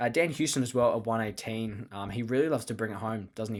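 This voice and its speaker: With an Australian accent, a man talks at a fairly quick pace and medium pitch. His intonation is fairly even, and the recording is very clean with a silent background. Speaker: fantasy sports podcast host. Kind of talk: solo podcast talk. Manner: fast.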